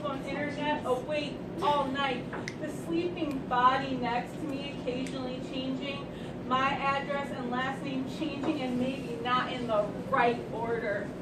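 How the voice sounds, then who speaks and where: A woman speaks at a fairly slow pace in a high pitch with ordinary pitch variation, against noticeable background noise. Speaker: slam poet. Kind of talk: poetry reading. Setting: live event.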